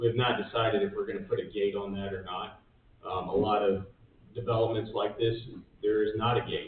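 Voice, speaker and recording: There is noticeable background noise. A man speaks at a moderate pace through it. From Georgia, Gwinnett County. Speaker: real estate developer. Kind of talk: answering questions at public meeting. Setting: county commission meeting room.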